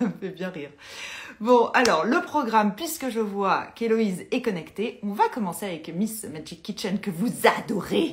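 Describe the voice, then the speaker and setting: Someone speaks with lively intonation at a fairly slow pace over noticeable background noise. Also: woman, fairly high pitch for a woman. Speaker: Instagram live host, interior decoration talk. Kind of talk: casual live chat. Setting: Instagram live video stream.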